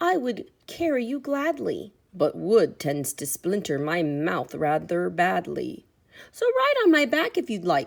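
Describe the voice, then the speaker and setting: A put-on character voice is used here. It moves at a fairly slow pace. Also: woman, fairly high pitch for a woman. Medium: read story.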